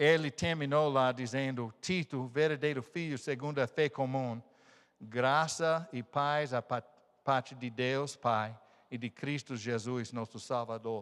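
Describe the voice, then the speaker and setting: A man with an American accent at medium pitch, fairly slow pace and fairly even intonation, in a very clean recording with a silent background. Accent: non-native Portuguese, American. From United States. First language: English (speaking Portuguese). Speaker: missionary pastor. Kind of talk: sermon. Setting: church. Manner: halting.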